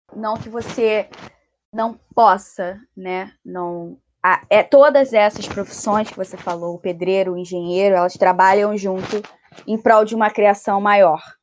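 A woman with a plain, everyday voice talks at a medium pitch and fairly slow pace. Her intonation is fairly even, but her loudness swings widely. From Brazil, Rio de Janeiro. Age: 20s. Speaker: architecture student, podcast co-host. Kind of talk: casual chat.

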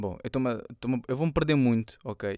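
A man's voice in a very clean recording with a silent background, dry and close with no echo. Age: 20s. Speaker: rapper. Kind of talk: casual monologue. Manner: halting.

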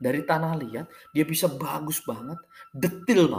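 A man speaks with ordinary pitch variation. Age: 40s. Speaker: podcaster. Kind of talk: monologue. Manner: halting.

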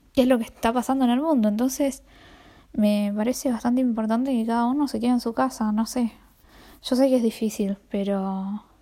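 In a Rioplatense accent, the voice moves at a fairly quick pace with a dark, mellow tone and fairly even intonation on a very clean recording with a silent background. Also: woman, fairly high pitch for a woman. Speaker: podcaster. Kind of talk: casual monologue.

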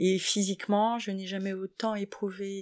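A woman's medium-pitched, monotone voice with flat intonation, at a fairly slow pace, in a dry, close sound with no echo. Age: 50s. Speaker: interviewee. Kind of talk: interview. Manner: halting.

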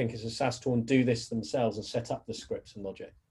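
A man with a British accent. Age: 40s. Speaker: podcast host. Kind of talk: casual interview. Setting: home office.

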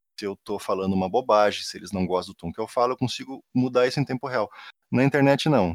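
A man with a southern Brazilian accent speaks with lively intonation in a very clean recording with a silent background and a dry, close sound with no echo. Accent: gaúcho. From Rio Grande do Sul, southern Brazil. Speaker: university professor. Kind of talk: casual interview.

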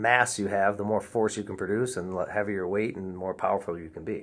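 This man has a plain, everyday voice at a fairly low pitch. His intonation is fairly even. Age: 30s. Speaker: personal trainer and wrestling coach. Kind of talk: casual chat.

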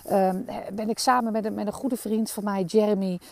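A woman's voice at a medium pitch, with a dark, mellow tone. The sound is dry and close, with no echo. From Netherlands, Amsterdam. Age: 40s. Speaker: podcast host. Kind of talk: personal storytelling monologue. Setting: outdoors in a meadow. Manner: animated.

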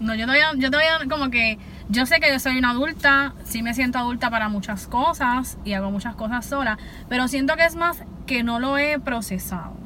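Her pitch is high for a woman. She uses ordinary pitch variation. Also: fairly quick pace. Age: 20s. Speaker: podcast host. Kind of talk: casual chat.

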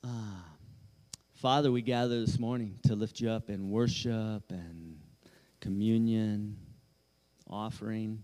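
In a dark, mellow tone, a man talks at medium pitch with fairly even intonation. He goes at a fairly slow pace, leaving long, frequent pauses. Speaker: church leader. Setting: church stage.

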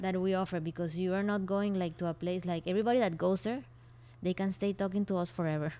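A voice with a Spanish accent moves at a very fast pace with a dark, mellow tone. The intonation stays fairly even. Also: woman, medium pitch for a woman. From Colombia, Barranquilla. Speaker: co-founder of a refill store. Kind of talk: interview.

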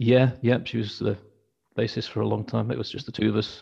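A man's fairly quick speech with vocal fry and fairly even intonation. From Wakefield, West Yorkshire. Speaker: band frontman, label manager. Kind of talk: casual chat, interview. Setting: video call.

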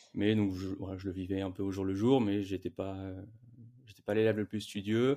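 A dark, mellow voice comes through with long, frequent pauses on a very clean recording with a silent background. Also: man, fairly low pitch for a man, fairly even intonation, moderate pace. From Paris region, France. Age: 20s. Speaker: brand co-founder. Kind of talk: interview.

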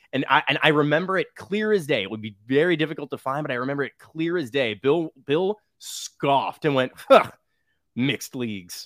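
A man with an American accent and a fairly high pitch speaks at a moderate pace with lively intonation, in a very clean, dry, close recording with a silent background and no echo. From US Midwest. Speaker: podcast guest, fan. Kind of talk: casual chat. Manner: halting, many fillers and repeats.

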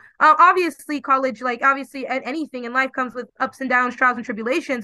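A woman speaks in a raised, projected voice with a high pitch, a bright, sharp tone and ordinary pitch variation. Her pace is fairly quick, and the sound is dry and close with no echo. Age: 20s. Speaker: law graduate. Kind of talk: interview.

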